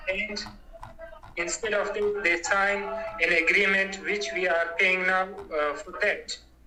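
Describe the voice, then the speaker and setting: A man speaks in a raised, projected voice at a high pitch with fairly even intonation. His pace is fairly slow with long, frequent pauses, and noticeable background noise is present. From Afghanistan. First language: not English. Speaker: Afghan interviewee. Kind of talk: interview. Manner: halting.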